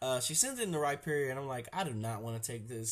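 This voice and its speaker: This man's somewhat breathy voice comes through on a very clean recording with a silent background. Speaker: gaming commentator. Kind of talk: casual game commentary. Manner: casual, relaxed.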